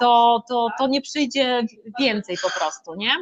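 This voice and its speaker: High-pitched woman with ordinary pitch variation, noticeable background noise behind her. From Poland, Masuria (Szczytno). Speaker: motivational coach for women. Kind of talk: interview. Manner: animated.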